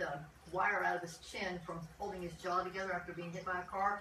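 Noticeable background noise sits under a woman's fairly low voice. She talks at a fairly quick pace. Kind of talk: casual update to viewers. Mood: calm, friendly. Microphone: camera far.

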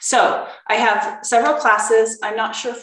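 Audible room echo surrounds a woman's voice. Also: quiet background. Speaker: cooking class instructor. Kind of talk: online class talk. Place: kitchen. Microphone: webcam.

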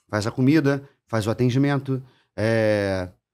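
The speaker is a man. He has a Carioca accent. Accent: carioca Brazilian Portuguese. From Rio de Janeiro, Brazil. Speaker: chef and bar owner; podcast guest. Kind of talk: casual chat. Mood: relaxed, conversational. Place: studio. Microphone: studio mic.

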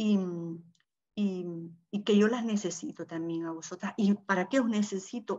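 A woman speaks at a moderate pace in a medium pitch, her voice somewhat breathy. The background is quiet. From El Salvador. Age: old. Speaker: popular educator. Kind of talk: online panel discussion. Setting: video call. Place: home room. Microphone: video call.

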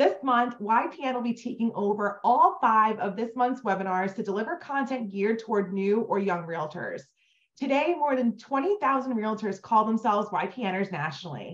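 This is an ordinary speaking voice with lively intonation. The background is quiet. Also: woman, fairly high pitch for a woman, moderate pace. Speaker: webinar host for a realtor association. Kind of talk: webinar introduction. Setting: online webinar. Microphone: video call.

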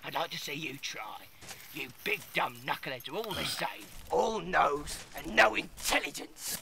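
A man does a put-on character voice at a fairly high pitch. He talks at a moderate pace over clear background noise. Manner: snarling, scornful.

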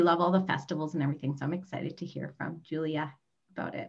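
Against a quiet background, a woman's voice comes through somewhat breathy. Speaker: travel advisor. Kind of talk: webinar hosting. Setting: video call. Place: home room. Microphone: video call.

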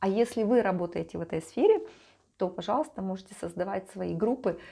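Over a quiet background, a woman talks at a medium pitch with a warm, dark, mellow tone. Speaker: life coach and vlogger. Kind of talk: monologue to camera, vlog-style talk. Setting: home video recording. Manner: warm, conversational, reflective. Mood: calm, reflective. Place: home room. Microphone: lapel.

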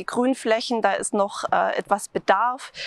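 A woman talks at a fairly slow pace with ordinary pitch variation. The sound is dry with no echo, and the background is quiet. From Swabia, Germany (Tübingen); Swabia, Germany. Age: 30s. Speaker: local election candidate; election candidate. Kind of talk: campaign self-introduction. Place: open country. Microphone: lapel.

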